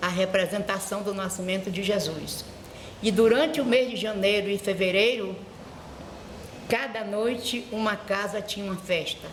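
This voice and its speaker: With audible room echo and noticeable background noise, the speaker goes at a moderate pace with fairly even intonation and long, frequent pauses. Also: woman, medium pitch for a woman. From Brazil, Bahia (Morro de São Paulo). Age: 80s+. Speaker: schoolteacher and vice-principal. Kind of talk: oral history interview. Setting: school.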